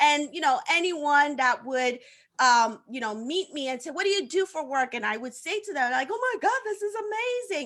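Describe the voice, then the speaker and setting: A woman with a Haitian accent speaks in a high pitch at a moderate pace. Her tone is animated, with very wide pitch swings. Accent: Haitian Caribbean English. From Haiti, partly raised in Africa. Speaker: social media coach. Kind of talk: interview on live show. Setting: live stream. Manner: animated, many repeated words.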